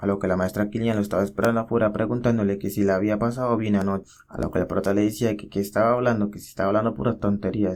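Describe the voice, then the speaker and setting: A man speaks at a very fast pace with hardly any pauses. His pitch is fairly low. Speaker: manhwa recap narrator. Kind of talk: casual story recap narration. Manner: animated.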